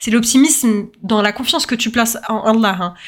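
Her pitch is fairly high. The woman keeps a moderate pace. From French suburbs (banlieue). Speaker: podcast host. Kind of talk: casual monologue. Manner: hesitant, many fillers.

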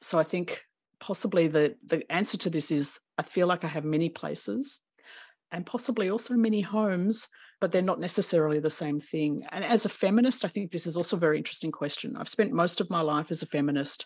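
Fairly quick, lively speech from a woman with an Australian accent at a fairly low pitch. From Australia, Melbourne. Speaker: professor. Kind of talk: interview.

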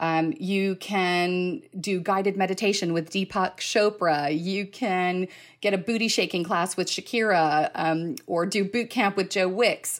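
The speaker talks in an American accent with ordinary pitch variation. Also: woman. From United States. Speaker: events agency co-founder. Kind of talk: live podcast interview. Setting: live digital event. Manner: energetic.

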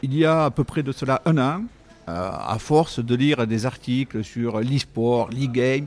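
A man's medium-pitched voice in a southern French accent, with ordinary pitch variation. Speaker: company CEO. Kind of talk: interview. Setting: on location at an esports venue.

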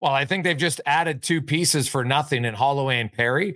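A man speaks in a normal speaking voice. His pace is fairly quick, with ordinary pitch variation. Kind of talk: casual chat.

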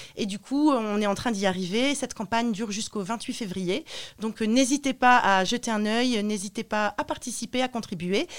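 A woman's fairly high voice with ordinary pitch variation at a moderate pace, on a very clean recording with a silent background. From northern France, Roubaix/Lille area. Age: 30s. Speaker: soap maker, former language teacher. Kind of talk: interview. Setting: radio studio. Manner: hesitant, many fillers.

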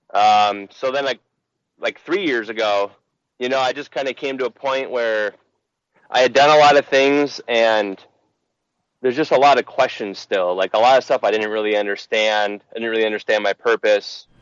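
A man talks with an unremarkable speaking voice, pitched at a medium level. His pace is moderate and his pitch variation is ordinary. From Minnesota (Burnsville, Twin Cities suburbs). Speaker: church member, marketing business owner. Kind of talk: casual chat; testimony.

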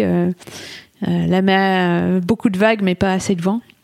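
The voice belongs to a woman at a medium pitch. Her tone is dark and mellow. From England. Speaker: solo ocean sailor. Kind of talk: interview. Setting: studio.

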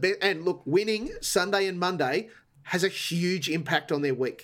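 A man with an Australian accent talks at a moderate pace and a high pitch. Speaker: TV ratings commentator. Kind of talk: casual chat.

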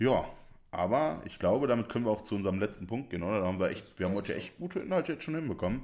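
A man speaks very fast at a medium pitch, his pitch swinging very widely. The recording is very clean with a silent background. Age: 20s. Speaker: podcast co-host and streamer. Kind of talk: casual chat. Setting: shared single microphone. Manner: loud.

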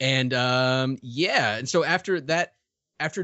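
A plain, everyday voice from a man at medium pitch, with an American accent and ordinary pitch variation. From US South, Richmond, Virginia. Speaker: comic writer and podcaster. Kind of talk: interview. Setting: remote call.

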